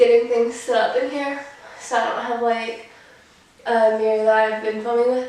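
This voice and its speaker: Room echo is audible, along with noticeable background noise. A woman speaks at a moderate pace with monotone, flat intonation. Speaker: makeup vlogger. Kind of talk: tutorial. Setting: filming on the floor at home. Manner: casual, filler-heavy.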